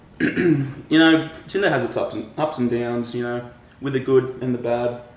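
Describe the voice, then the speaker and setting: A man with an Australian accent talks at a moderate pace in a medium pitch, his intonation fairly even. Noticeable background noise and audible room echo fill the recording. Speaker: professional triathlete. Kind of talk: comedic interview.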